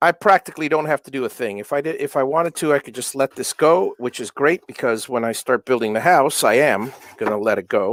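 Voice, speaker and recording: This man talks at a fairly quick pace with lively intonation, and the sound is dry and close with no echo. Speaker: electronics maker and livestreamer. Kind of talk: casual livestream chat while working. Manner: halting, many fillers and self-corrections.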